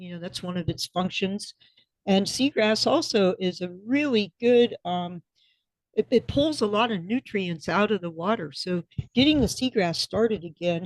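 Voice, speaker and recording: With an American accent, a woman talks in an ordinary speaking voice at a medium pitch and moderate pace. Her intonation is lively, and the sound is dry and close with no echo. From Florida. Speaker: restaurant co-owner and former commercial fisher. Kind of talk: podcast interview answer.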